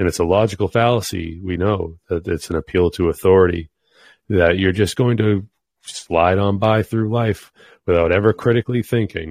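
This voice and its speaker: A man with a very deep, low pitch, fairly even intonation and a moderate pace, in a dry, close sound with no echo against a quiet background. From New England. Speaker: podcast host. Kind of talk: casual chat.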